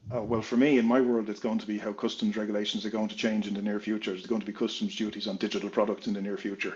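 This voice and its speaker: Speaking very fast in an Irish accent, a man with a fairly low pitch talks in a monotone, flat intonation. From Ireland. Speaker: consultant and entrepreneur. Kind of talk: interview.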